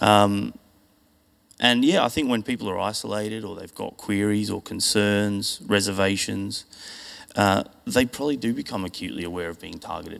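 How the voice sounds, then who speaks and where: A man speaks at a fairly low pitch and a moderate pace, with ordinary pitch variation. His loudness swings widely. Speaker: church member giving testimony. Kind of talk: testimony. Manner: casual, hesitant, fillers.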